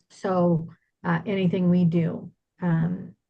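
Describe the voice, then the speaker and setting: Speaking with an American accent, a woman has a fairly low pitch and a dark, mellow tone. Her voice is somewhat breathy, with monotone, flat intonation. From Iowa, US Midwest. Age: 60s. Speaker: senior move manager, business owner. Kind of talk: webinar presentation.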